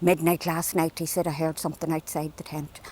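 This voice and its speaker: With an Irish accent, a woman speaks at a fairly low pitch. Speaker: storyteller. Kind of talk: folk tale storytelling. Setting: outdoors.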